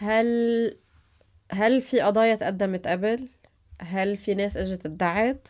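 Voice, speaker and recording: With long, frequent pauses, a woman speaks at a very slow pace and a medium pitch with fairly even intonation over a quiet background. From Lebanon, mountain region. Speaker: TV news anchor and interviewer; TV news anchor, interviewer. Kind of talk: interview. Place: studio. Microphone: studio mic.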